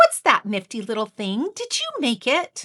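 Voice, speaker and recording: Using a put-on character voice, a woman speaks high-pitched. Her pace is moderate. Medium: read story. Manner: earnest, wide-eyed.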